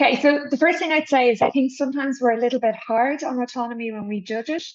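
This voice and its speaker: A woman with an Irish accent, high in pitch with ordinary pitch variation, at a very fast pace. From Ireland. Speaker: politics professor. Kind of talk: expert interview. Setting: video interview.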